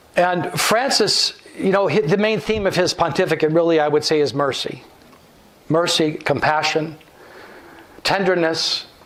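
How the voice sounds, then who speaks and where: A man with a high pitch talks at a moderate pace, leaving long, frequent pauses, with ordinary pitch variation and very even loudness. Audible room echo and noticeable background noise fill the recording. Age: 70s. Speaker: guest speaker, theologian. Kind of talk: lecture. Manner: halting.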